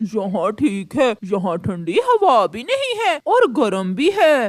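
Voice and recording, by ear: This is a cartoonish character voice pitched fairly high. It moves at a fairly slow pace.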